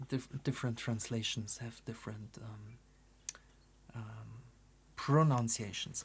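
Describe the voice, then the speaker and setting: The speaker has a German accent. The pace is fairly slow. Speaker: artist and oracle creator. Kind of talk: casual presentation. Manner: halting, many fillers.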